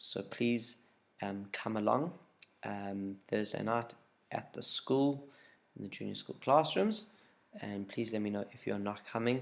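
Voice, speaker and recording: A soft-spoken man with a fairly low pitch talks at a fairly slow pace. He leaves long, frequent pauses and uses ordinary pitch variation. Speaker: youth group leader. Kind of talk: casual video update. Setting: at home, late at night.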